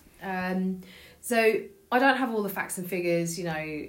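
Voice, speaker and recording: The speech moves at a moderate pace, and audible room echo can be heard. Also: woman. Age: 40s. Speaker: podcast co-host. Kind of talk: casual chat. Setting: home dining room.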